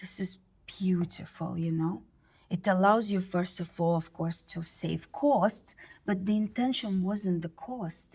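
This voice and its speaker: Speaking fairly slowly, a woman has a Russian accent. Her pitch is medium, with ordinary variation. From Russia (born in USSR). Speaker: marketing academic. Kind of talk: casual interview chat.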